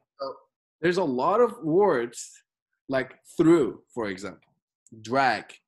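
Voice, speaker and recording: The speaker has a Turkish accent and talks at a very slow pace. Long, frequent pauses break up the speech. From Turkey. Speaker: basketball skills trainer and channel host. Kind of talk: interview.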